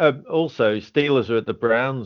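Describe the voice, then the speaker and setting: Speaking at a moderate pace, a man uses an ordinary speaking voice with ordinary pitch variation. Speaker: internet news co-host. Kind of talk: casual banter podcast chat.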